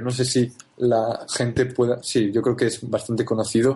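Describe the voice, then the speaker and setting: Speaking very slowly, a man holds a medium pitch. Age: 20s. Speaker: marketer and university student. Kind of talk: interview. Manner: halting, many repetitions.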